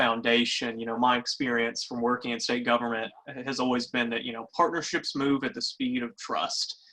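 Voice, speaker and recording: Someone with a Kentucky accent talks at a fairly quick pace. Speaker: webinar moderator. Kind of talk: webinar panel discussion. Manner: halting.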